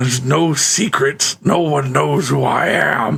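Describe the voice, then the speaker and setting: A raspy put-on character voice from a man at medium pitch and a fairly slow pace. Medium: actual play. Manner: blunt, matter-of-fact.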